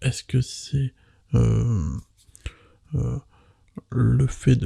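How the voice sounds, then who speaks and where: Soft-spoken and gentle in tone, a man talks with a dry, close sound that has no echo. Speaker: ASMR content creator. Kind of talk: casual talk to camera, ASMR chat. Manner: soft-spoken, quiet, gentle.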